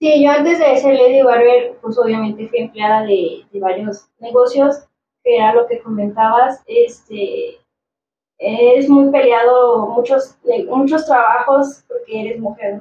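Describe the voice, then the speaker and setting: Her voice sits high, with pitch that moves in an ordinary way. This woman talks fairly slowly. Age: 30s. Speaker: barber and business owner. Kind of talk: casual chat. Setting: studio.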